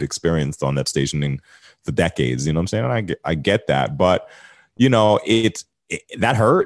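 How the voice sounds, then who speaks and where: Talking at a very fast pace with an American accent, a man with a very deep, low pitch uses ordinary pitch variation in a dry, close sound with no echo. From New York City. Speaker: radio host. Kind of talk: casual interview chat. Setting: video call.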